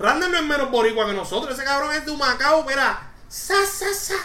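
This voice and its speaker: An animated voice, raised and projected, at a moderate pace. The room echo is audible. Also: woman. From Puerto Rico. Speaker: podcast host. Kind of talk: casual chat.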